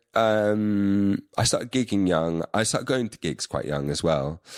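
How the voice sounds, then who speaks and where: The sound is dry and close with no echo, and the intonation is lively. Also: man. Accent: London. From London, England. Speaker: musician and filmmaker. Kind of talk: casual chat. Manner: halting, many fillers.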